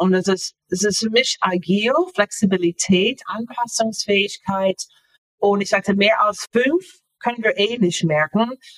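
A woman with an American accent talks fairly slowly at a medium pitch, with ordinary pitch variation and very even loudness, in a dry, close sound with no echo. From US, Florida. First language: English (speaking German). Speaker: author. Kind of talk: interview. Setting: video call. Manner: halting.

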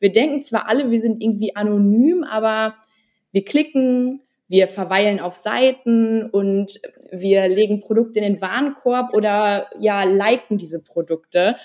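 A woman with an unremarkable speaking voice talks in a fairly high pitch with ordinary pitch variation. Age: 20s. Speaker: former working student, e-commerce researcher. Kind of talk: podcast interview.

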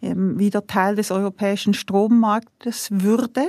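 Her medium-pitched voice has a dark, mellow tone and fairly even intonation, recorded dry and close with no echo. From Switzerland. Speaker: industrial CEO. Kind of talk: interview.

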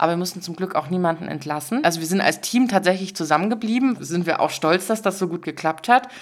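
A woman with a fairly low pitch speaks at a very fast pace with hardly any pauses. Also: ordinary pitch variation. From Dresden, Saxony, eastern Germany. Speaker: social business representative. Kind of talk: interview. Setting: in person studio.

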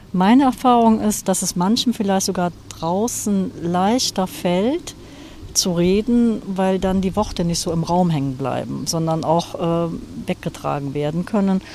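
Noticeable background noise sits behind a woman talking at a fairly slow pace. Her pitch is medium, with ordinary variation. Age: 60s. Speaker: hospice grief counselor. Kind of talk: interview. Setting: outdoors on a cemetery bench.

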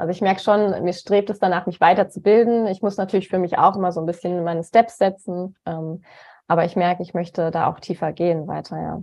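A woman speaks at a fairly quick pace in a normal speaking voice, her pitch medium and her intonation fairly even. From Germany, Cologne. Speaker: nutrition coach. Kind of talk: interview.

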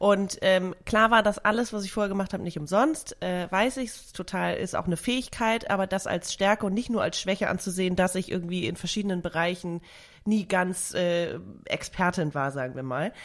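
With a very clean recording and a silent background, a woman speaks in a normal speaking voice at a medium pitch and moderate pace, with ordinary pitch variation. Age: 30s. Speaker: podcast host. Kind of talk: casual chat.

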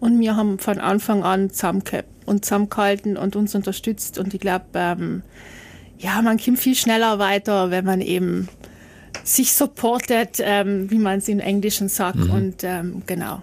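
Moderate pace and fairly even intonation. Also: woman, medium pitch for a woman. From South Tyrol, Italy. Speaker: TV journalist. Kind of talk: casual interview. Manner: hesitant, many fillers.

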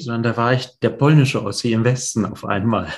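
A man's medium-pitched voice at a moderate pace with fairly even intonation, against a quiet background. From East Germany (GDR), Polish family, later West Berlin. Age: 40s. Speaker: real estate investor. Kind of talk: interview, life story. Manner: hesitant, many fillers.

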